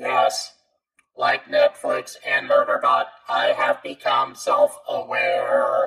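A robotic, put-on character voice at a very slow pace. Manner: deadpan, self-aware machine.

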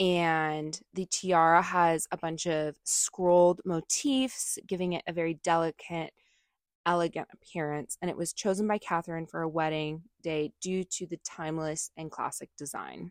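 In a dry, close recording with no echo and a silent background, a woman with an American accent talks at a moderate pace in an ordinary speaking voice, her pitch fairly low and her intonation fairly even. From United States. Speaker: podcast co-host. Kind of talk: reading aloud; casual chat.

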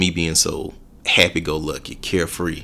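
On a very clean recording with a silent background, a man speaks with a Southern US accent. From Alabama. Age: 30s. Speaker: personal trainer. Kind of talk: casual chat.

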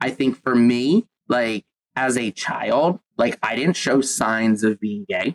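The man talks at a very slow pace and a medium pitch. His pitch variation is ordinary, and the sound is dry and close with no echo. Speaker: podcast host. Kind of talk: casual chat.

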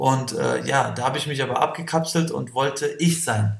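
A man's voice with audible room echo. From Kosovo. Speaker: breakdancer. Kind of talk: interview. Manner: hesitant with fillers.

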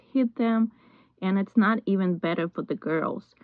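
Here is a plain, everyday voice from a woman. She speaks at a moderate pace with ordinary pitch variation. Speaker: podcast host. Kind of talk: interview chat.

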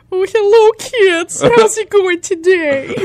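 A put-on character voice sits at an extremely high pitch. It moves at a fairly slow pace. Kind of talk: talking to children. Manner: cheery, friendly.

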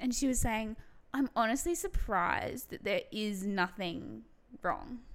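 A woman speaks in an Australian accent at a fairly slow pace. Her pitch is fairly high, with lively intonation. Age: 20s. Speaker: podcast co-host. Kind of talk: casual chat.

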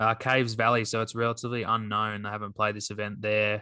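Over a quiet background, a man with an Australian accent speaks very fast. His voice is fairly low with a bright, sharp tone. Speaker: golf podcast co-host, scratch golfer. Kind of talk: casual chat.

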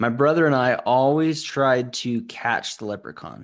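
In a quiet background, a man speaks very slowly at a medium pitch with ordinary pitch variation. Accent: American. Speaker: podcast co-host. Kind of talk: casual chat.

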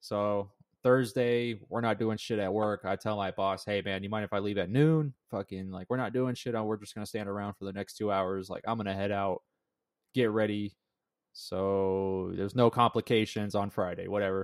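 An unremarkable speaking voice from a man with an American accent, fairly low in pitch, at a moderate pace with ordinary pitch variation, in a very clean recording with a silent background and a dry, close sound with no echo. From US West, Las Vegas. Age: 20s. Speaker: podcast host, young father. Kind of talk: casual chat.

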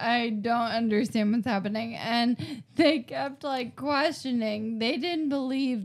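A woman with a plain, everyday voice at a fairly slow pace, with ordinary pitch variation. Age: 20s. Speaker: stand-up comedian. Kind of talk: casual chat.

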